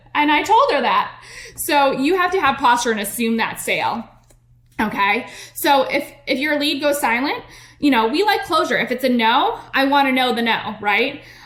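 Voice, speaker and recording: Amid audible room echo, a woman speaks in a high, animated voice with lively intonation. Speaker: podcast host and network marketing coach. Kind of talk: business coaching podcast monologue. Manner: fast.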